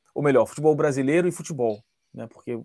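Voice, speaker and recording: A man's very fast, fairly high-pitched speech in a dark, mellow tone, ordinary pitch variation, dry and close with no echo, on a very clean recording with a silent background. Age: 40s. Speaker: football analyst. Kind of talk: podcast interview.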